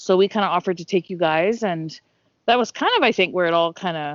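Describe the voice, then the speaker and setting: Using an ordinary speaking voice, a woman speaks at a fairly low pitch with ordinary pitch variation. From Canada, Ontario. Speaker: podcaster. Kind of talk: casual chat.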